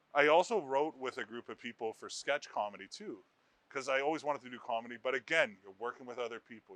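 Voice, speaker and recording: A man with a Canadian accent talks at a fairly quick pace in an unremarkable speaking voice. His pitch is medium, with ordinary variation. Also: big swings in loudness, dry, close sound with no echo. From Ontario, Canada (Brampton/Mississauga near Toronto). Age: 30s. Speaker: stand-up comedian. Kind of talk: interview.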